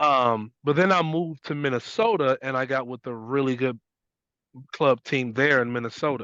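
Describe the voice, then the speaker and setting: Medium in pitch, a man with an unremarkable speaking voice talks at a moderate pace with ordinary pitch variation. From US Midwest, west side of Chicago. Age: 40s. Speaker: basketball coach. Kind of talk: interview conversation.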